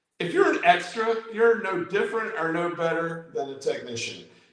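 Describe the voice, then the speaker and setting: Noticeable background noise sits behind a man with an American accent. His pitch is high and his pace moderate. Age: 60s. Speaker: amateur radio YouTuber. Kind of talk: casual chat. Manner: halting, many repeated words.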